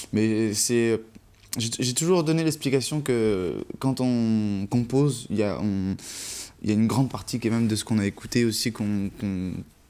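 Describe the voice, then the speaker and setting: Speaking at a moderate pace, a man uses a medium pitch with ordinary pitch variation and a dark, mellow tone. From south-east France. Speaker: musician. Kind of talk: TV interview. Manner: halting.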